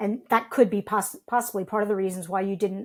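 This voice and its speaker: A woman with an American accent and an unremarkable speaking voice, fairly high-pitched, at a fairly quick pace with fairly even intonation, in a very clean recording with a silent background. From United States. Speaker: podcast co-host. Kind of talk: interview conversation.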